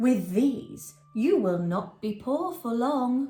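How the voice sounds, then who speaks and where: Faint music plays behind a female-sounding, put-on character voice that is fairly high in pitch and very slow in pace. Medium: read story.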